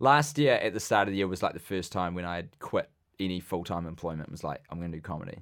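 A man speaks at a very fast pace with lively intonation. His very deep, low voice carries a New Zealand accent. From New Zealand, Wellington. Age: 20s. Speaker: comedian. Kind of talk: casual chat. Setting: studio.

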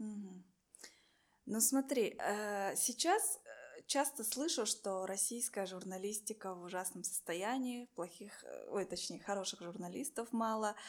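Fairly high female voice at a fairly slow pace, with long, frequent pauses. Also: ordinary pitch variation. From Buryatia, Russia. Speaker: podcast host. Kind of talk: casual interview.

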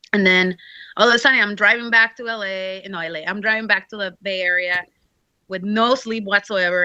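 Over a quiet background, a bright, sharp tone comes through with a Mexican accent at a moderate pace. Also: woman. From Mexico. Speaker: professional wrestler. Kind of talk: casual interview. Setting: video call. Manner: casual, filler-heavy speech.

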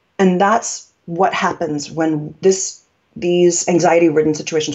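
An ordinary speaking voice with an American accent, a moderate pace and ordinary pitch variation. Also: woman. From New York. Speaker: communication coach. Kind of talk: interview conversation, explanatory.

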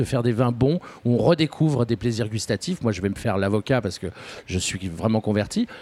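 The voice has a dark, mellow tone and a Parisian accent. It moves at a fairly quick pace with lively intonation, and the sound is dry and close with no echo. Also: man. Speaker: film director. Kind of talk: radio interview. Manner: halting.

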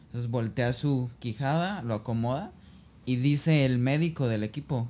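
Pitched in the medium range with ordinary pitch variation, a man speaks in a normal speaking voice. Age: 20s. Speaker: podcast guest. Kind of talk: casual chat.

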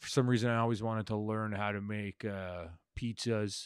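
A man with a Toronto accent and fairly low pitch, in a dry, close sound with no echo and a very clean recording with a silent background. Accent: Canadian (Toronto). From Canada, Scarborough (Toronto). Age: 30s. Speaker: comedian. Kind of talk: casual monologue. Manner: halting.

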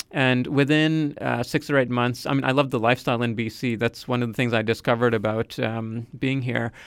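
Speaking at a fairly quick pace with hardly any pauses, a man keeps a medium pitch and fairly even intonation. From Nova Scotia, Canada. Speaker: engineer. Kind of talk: interview. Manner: halting, many fillers.

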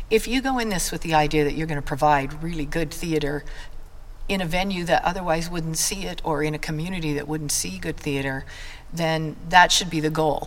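A woman with an American accent speaks at a very deep, low pitch. Noticeable background noise and audible room echo fill the recording. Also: ordinary pitch variation, fairly quick pace. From Idaho, US. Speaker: drama teacher and community theater leader. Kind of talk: casual interview.

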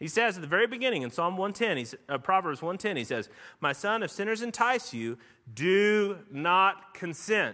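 Raised and projected, a man's bright, sharp voice sits at a high pitch with very wide pitch swings at a moderate pace. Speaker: pastor. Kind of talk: sermon. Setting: church. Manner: conversational, with fillers.

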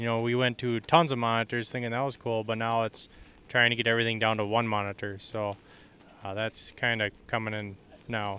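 A man with an Upper Midwest accent talks at a moderate pace and a medium pitch. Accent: Upper Midwest (Minnesota). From central Minnesota. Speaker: farmer. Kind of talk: casual interview. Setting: farm show.

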